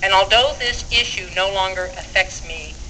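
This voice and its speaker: There is noticeable background noise and audible room echo. A woman speaks at a fairly slow pace. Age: 70s. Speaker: activist speaker. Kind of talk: rally speech.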